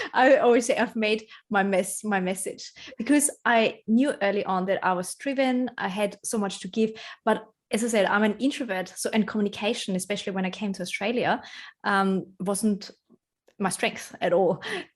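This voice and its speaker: A woman speaks with a non-native accent. Her pitch is fairly high, with ordinary pitch variation. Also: moderate pace. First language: not English. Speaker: personal branding strategist. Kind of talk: podcast interview.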